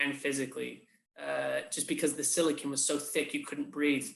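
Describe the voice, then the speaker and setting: This man talks at a moderate pace in an English accent. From England. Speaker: puppeteer and creature performer. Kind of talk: interview answer. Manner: casual, conversational.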